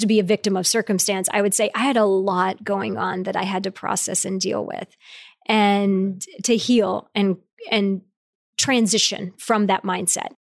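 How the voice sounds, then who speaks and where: In a Midwestern US accent, a woman speaks at a moderate pace and medium pitch on a very clean recording with a silent background. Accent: US Midwest. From rural Ohio. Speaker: company CEO. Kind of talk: interview. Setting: in person.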